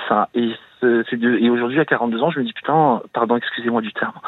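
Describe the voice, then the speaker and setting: This man talks at a moderate pace with a medium pitch. His intonation is fairly even, and noticeable background noise runs behind him. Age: 40s. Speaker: caller to a radio advice show. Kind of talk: personal confession on call-in radio. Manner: halting, many hesitations.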